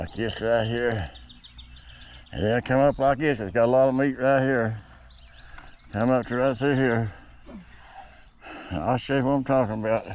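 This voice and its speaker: Against noticeable background noise, a man with an Appalachian accent and a medium pitch talks at a moderate pace with fairly even intonation and long, frequent pauses. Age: 60s. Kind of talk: casual how-to demonstration. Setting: outdoors. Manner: casual, folksy.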